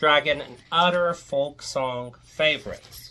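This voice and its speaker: A woman with a Virginia Piedmont accent speaks in a very deep, low voice. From Virginia Piedmont, US. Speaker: folklore video creator. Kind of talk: casual monologue rant. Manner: rambling, conversational.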